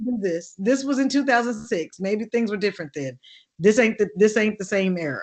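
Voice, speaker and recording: With an American accent, a woman with a fairly high pitch speaks in an animated tone with lively intonation. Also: fairly quick pace. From Oakland, California. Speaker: actress and singer. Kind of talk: interview.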